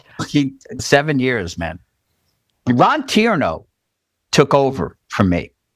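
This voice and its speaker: A man with an American accent speaks at medium pitch with vocal fry and very wide pitch swings. His pace is very slow, with long, frequent pauses. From New Jersey, Jersey City. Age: 60s. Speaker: Broadway drummer. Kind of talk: casual interview.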